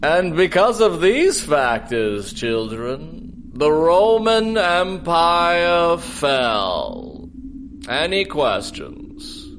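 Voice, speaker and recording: A man speaks very slowly in a put-on character voice pitched high for a man. Background noise is clearly audible. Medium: audio drama. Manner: gruff, hesitant, grumbling.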